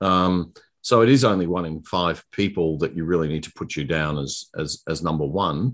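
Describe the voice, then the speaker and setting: A man's very deep, low voice in an Australian accent, at a moderate pace with ordinary pitch variation, over a quiet background. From Queensland, Australia. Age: 50s. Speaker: political candidate. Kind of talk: casual chat.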